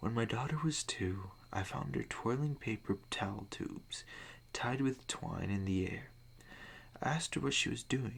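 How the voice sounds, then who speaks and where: Soft-spoken and whispering, a man talks at a fairly slow pace. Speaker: ASMR creator. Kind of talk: spooky story reading with casual commentary. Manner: soft-spoken, whispering.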